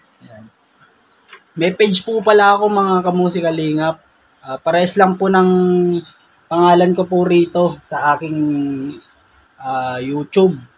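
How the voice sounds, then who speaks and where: Long pauses come often as a man talks in a high pitch. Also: ordinary pitch variation, fairly slow pace, big swings in loudness. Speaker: vlogger and songwriter. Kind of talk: casual vlog. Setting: outdoors at a chicken farm, then indoors at home studio. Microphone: cheap mixer, voice sounds distorted.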